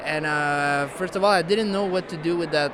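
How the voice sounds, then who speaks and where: In a Quebec accent, a man speaks with ordinary pitch variation, amid noticeable background noise and audible room echo. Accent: Québécois French accent in English. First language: French. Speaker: musician. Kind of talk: interview. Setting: music awards gala. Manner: halting, many fillers.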